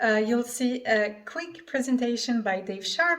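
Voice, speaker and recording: A woman's high-pitched voice in a French accent, at a very slow pace with ordinary pitch variation. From France. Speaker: affiliate marketer. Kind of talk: sales pitch.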